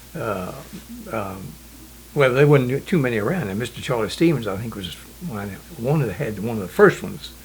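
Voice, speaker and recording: Speaking at a fairly quick pace with an American accent, a man at medium pitch uses lively intonation, big swings in loudness and long, frequent pauses, with audible room echo. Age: 80s+. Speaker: local elder eyewitness. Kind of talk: oral history interview. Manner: halting.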